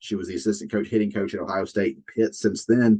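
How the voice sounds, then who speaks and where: This man speaks with a Southern US accent and a fairly low pitch. His intonation is lively, with vocal fry. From US South. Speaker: college softball analyst. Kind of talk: casual sports chat.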